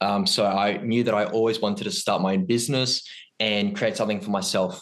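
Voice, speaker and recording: A man with a plain, everyday voice, fairly low in pitch, with ordinary pitch variation and a moderate pace. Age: 20s. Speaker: ecommerce entrepreneur. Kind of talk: podcast interview. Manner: many filler ums.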